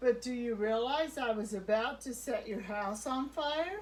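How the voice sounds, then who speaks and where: A woman uses a put-on character voice pitched high. She talks at a moderate pace over light background noise. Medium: read story.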